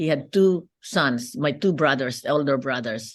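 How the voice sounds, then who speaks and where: A woman with a Filipino accent talks at a very slow pace, her pitch swinging very widely. The background is quiet. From Philippines. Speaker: businesswoman and lawyer. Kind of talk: interview.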